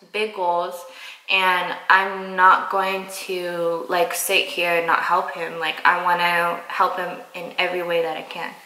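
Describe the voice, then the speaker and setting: A woman's fairly low, monotone voice with flat intonation at a fairly slow pace, with audible room echo. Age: 20s. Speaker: girlfriend of the vlogger. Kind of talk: casual chat. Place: kitchen. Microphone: camera far.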